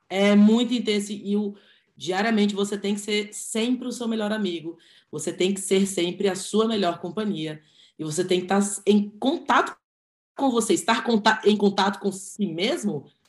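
Somewhat breathy, a woman speaks at a medium pitch and a moderate pace with lively intonation. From Brazil, Brasília. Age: 20s. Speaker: physiotherapist and handball coach. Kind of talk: casual chat.

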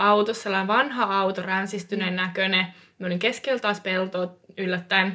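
Spoken at a moderate pace, the voice has a bright, sharp tone and fairly even intonation. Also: woman. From eastern Finland. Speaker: experienced hitchhiker. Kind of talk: casual chat.

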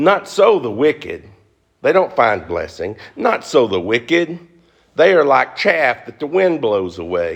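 A man talks at a fairly slow pace. He has a Southern US accent. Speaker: pastor. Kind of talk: sermon. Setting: church.

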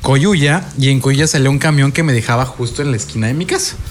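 Over noticeable background noise, a man talks at a fairly quick pace. His pitch sits in the medium range. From Mexico City. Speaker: rock podcast co-host. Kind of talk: casual chat.

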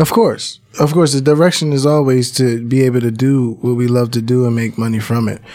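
In an unremarkable speaking voice with an American accent, the speaker talks with fairly even intonation and hardly any pauses. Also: man, medium pitch for a man, fairly quick pace. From Philadelphia, North Philly. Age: 30s. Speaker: music producer and studio owner. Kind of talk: casual interview chat.

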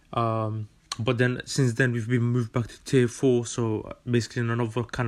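Against a quiet background, a man speaks with a London accent at a medium pitch. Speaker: podcast host, student. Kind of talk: casual monologue. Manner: animated.

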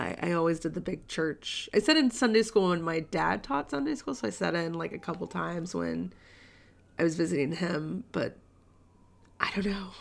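A woman talks at a moderate pace with lively intonation and vocal fry. Her pitch sits fairly low. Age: 30s. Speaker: book podcast co-host. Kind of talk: casual chat.

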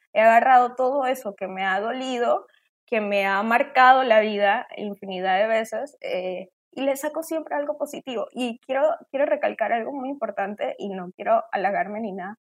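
This woman has a fairly high pitch and ordinary pitch variation. She talks at a moderate pace. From Colombia, later Venezuela. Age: 20s. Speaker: interview guest sharing life story. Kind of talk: testimony.

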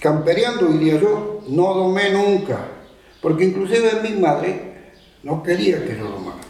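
Lively intonation from a man with a Uruguayan accent, plus noticeable background noise and audible room echo. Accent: rural Uruguayan Spanish. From Uruguay, rural Tacuarembó. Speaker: rural horseman and local historian. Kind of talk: oral history testimony. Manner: halting.

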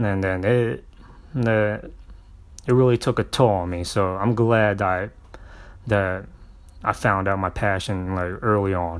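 A man speaks with a fairly low pitch and fairly even intonation. He leaves long, frequent pauses. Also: fairly slow pace. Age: 20s. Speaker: podcast host and stand-up comedian. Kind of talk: solo podcast monologue. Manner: casual, filler-heavy.

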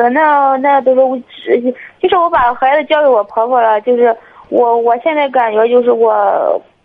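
A woman talks fairly slowly in a high pitch with ordinary pitch variation. Her loudness stays very even. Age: 20s. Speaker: caller. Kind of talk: call-in advice chat. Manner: halting.

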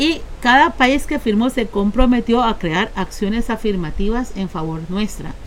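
With a plain, everyday voice, a woman speaks at a fairly high pitch and a fairly slow pace, her intonation lively. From Costa Rica, Caribbean coast (Limón). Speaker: Afro-descendant community activist. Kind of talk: interview. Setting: on location in Punta Uva, Limón.

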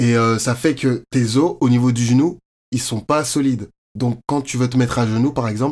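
At a moderate pace and medium pitch, a man speaks in a plain, everyday voice with fairly even intonation, on a very clean recording with a silent background. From France, Paris area (Courbevoie). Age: 20s. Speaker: fashion model and university student. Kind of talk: interview, casual chat.

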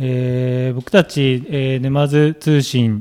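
This man's voice sits at a medium pitch with a dark, mellow tone. His intonation stays fairly even. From Japan, Numazu (Shizuoka). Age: 30s. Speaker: local news website founder. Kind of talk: radio interview. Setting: radio studio.

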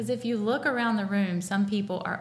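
Somewhat breathy, a woman talks with an American accent. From North Carolina. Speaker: professional organizer. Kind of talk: casual chat.

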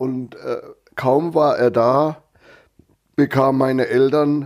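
In a very clean recording with a silent background, a man of medium pitch speaks very slowly in a dark, mellow tone. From northern Germany (Lower Saxony). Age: 70s. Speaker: retired farmer. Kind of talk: life story interview. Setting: at his home.

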